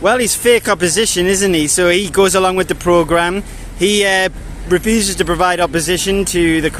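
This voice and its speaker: A man's high voice at a moderate pace, with fairly even intonation. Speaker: street interviewer. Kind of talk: street interview questions.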